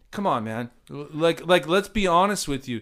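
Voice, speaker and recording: Here is a man with a Southern California accent at a moderate pace. His pitch swings very widely. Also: very clean recording, silent background. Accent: general American (Southern California). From Orange County, California. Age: 40s. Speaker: podcast host. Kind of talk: casual chat. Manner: animated.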